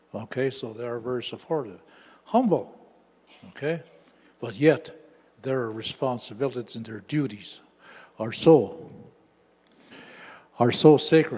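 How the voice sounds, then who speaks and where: Using a medium pitch and ordinary pitch variation, a man speaks at a fairly slow pace in a dark, mellow tone, with long, frequent pauses and big swings in loudness. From northwestern Ontario, Canada. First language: Anishinaabemowin. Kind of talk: lecture.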